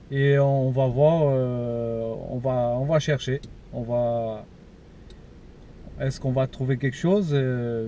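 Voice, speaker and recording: Over noticeable background noise, a man with a medium pitch speaks at a very slow pace with long, frequent pauses. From Portugal. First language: Portuguese (speaking French). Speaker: paranormal investigator YouTuber. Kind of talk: vlog to camera. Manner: halting, many hesitations.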